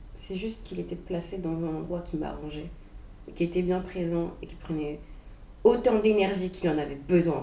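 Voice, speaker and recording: A woman speaks at a moderate pace, her pitch fairly low and her intonation fairly even, with big swings in loudness. There is audible room echo and noticeable background noise. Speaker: vlogger sharing personal reflections. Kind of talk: unprepared personal monologue. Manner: halting, searching for words.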